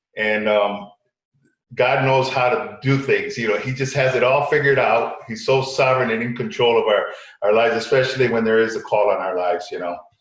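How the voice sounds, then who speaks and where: A man's medium-pitched, somewhat breathy voice at a fairly quick pace, with ordinary pitch variation and audible room echo. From Connecticut, US, Puerto Rican family. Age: 60s. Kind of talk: interview. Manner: halting, many repetitions.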